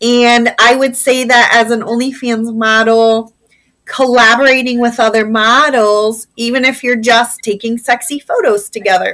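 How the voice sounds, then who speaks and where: A woman with a Midwestern American accent speaks fairly slowly. Her high pitch has a bright, sharp tone and a monotone, flat intonation. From Indiana, US Midwest. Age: 40s. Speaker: former teacher turned adult content creator. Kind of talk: interview conversation.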